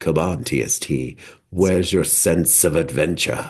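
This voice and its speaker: A man puts on a character voice with very deep, low pitch. He talks at a moderate pace. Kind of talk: game roleplay. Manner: theatrical, put-on, adventurous taunt.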